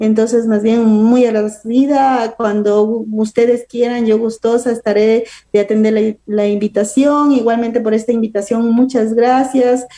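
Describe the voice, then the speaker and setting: This woman talks at a fairly slow pace in a dark, mellow tone, her intonation monotone and flat and her loudness very even. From Ecuador, Catamayo (Loja province); Ecuador. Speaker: beautician and entrepreneur; guest. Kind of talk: interview. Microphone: video call.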